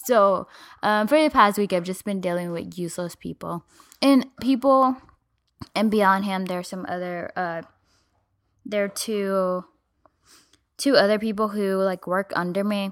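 A woman speaks at a fairly slow pace and medium pitch, with ordinary pitch variation. She leaves long, frequent pauses on a very clean recording with a silent background. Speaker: podcast co-host. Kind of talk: casual banter.

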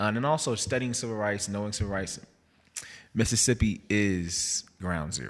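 This man has a plain, everyday voice and an American accent. His fairly low pitch shows ordinary pitch variation at a moderate pace. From New Jersey (Jersey City). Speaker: museum worker, curator. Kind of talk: casual chat.

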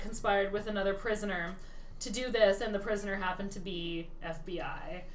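Amid noticeable background noise and audible room echo, a woman of medium pitch speaks at a fairly quick pace in a monotone, flat intonation. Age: 30s. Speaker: podcast co-host. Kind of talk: casual chat.

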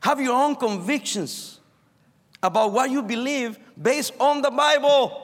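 Fairly slow in pace, a man with a Spanish accent speaks at an extremely high pitch. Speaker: pastor. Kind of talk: sermon. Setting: chapel service.

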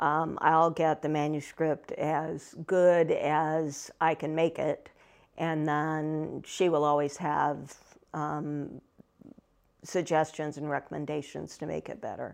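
Against a quiet background, a woman with a Midwestern American accent speaks very slowly in a very deep, low pitch with monotone, flat intonation. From Ohio. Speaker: fantasy novelist. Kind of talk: interview.

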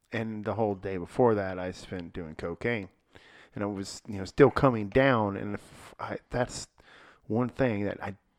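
At a moderate pace, a man with an ordinary speaking voice talks at a fairly low pitch with fairly even intonation. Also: big swings in loudness, quiet background. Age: 40s. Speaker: podcast co-host discussing church sermon series. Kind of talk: casual chat. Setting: podcast room.

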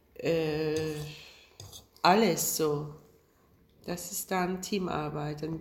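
A woman with a Turkish accent speaks at a very slow pace in a very deep, low pitch, with fairly even intonation and long, frequent pauses. Noticeable background noise and audible room echo fill the recording. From Turkey, Istanbul. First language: Turkish (speaking German). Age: 50s. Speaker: film director. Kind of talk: casual interview over lunch. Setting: at a lunch table. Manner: halting.

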